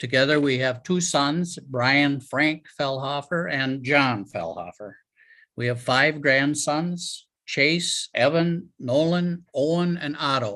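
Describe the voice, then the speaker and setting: This man talks with an Upper Midwest accent at a fairly high pitch. His tone is bright and sharp, and his pitch varies in an ordinary way. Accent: Upper Midwest American. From Wisconsin, Marshfield. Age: 70s. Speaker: retiree, family historian. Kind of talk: public talk with slides.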